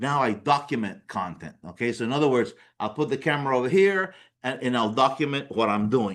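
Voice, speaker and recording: Over a quiet background, a man with a non-native accent talks at a fairly quick pace with lively intonation. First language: not English. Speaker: business coach. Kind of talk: workshop presentation. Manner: conversational, repetitive fillers.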